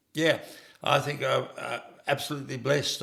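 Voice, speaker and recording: A man talks with an Australian accent. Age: 70s. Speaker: farmer. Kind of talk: interview. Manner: halting.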